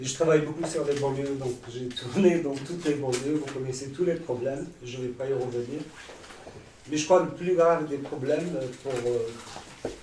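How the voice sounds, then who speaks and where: Amid noticeable background noise and audible room echo, the speaker talks at a moderate pace with fairly even intonation. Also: man, fairly high pitch for a man. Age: 60s. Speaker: community worker and writer. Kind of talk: audience question. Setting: stage with audience. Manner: soft-spoken.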